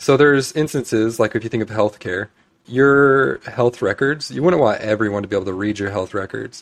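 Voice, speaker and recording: A man talks in a normal speaking voice at a medium pitch. His fairly quick pace comes with lively intonation. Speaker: systems designer and developer. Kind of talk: casual interview. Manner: casual, frequent filler words.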